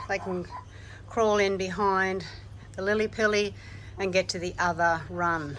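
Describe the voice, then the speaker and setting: With an Australian accent, a woman speaks at a medium pitch in a monotone, flat way and at a fairly slow pace, with audible room echo. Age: 70s. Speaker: gardening vlogger. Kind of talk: casual vlog narration.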